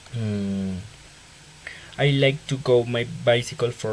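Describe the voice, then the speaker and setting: Over noticeable background noise, a man with a Colombian accent speaks with ordinary pitch variation. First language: Spanish. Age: 20s. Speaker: engineering student. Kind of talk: self-introduction for class assignment. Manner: halting.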